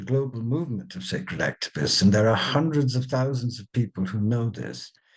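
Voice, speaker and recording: A man's somewhat breathy voice at medium pitch, moderate in pace, with ordinary pitch variation. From India and England. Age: 70s. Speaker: spiritual author. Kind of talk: interview. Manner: animated.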